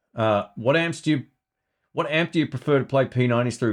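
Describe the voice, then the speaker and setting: A man with an Australian accent talks at a fairly quick pace. His intonation is lively, and the background is quiet. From Melbourne, Australia. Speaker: guitar YouTuber and podcaster. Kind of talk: casual live stream Q&A. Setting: live stream. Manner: casual, chatty, friendly.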